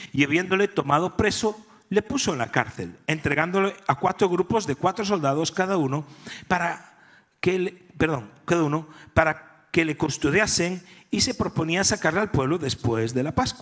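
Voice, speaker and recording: A man with a Galician accent speaks at a moderate pace in a high voice, his intonation lively. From Galicia, Spain. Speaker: pastor. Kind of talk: sermon.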